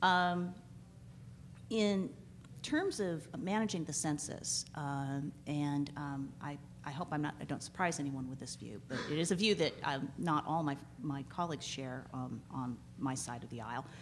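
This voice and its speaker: This woman's voice sits very deep and low, with vocal fry and ordinary pitch variation. She speaks at a fairly slow pace over light background noise. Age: 40s. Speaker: law professor. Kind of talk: conference panel talk. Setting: stage with audience. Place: hall. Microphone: podium.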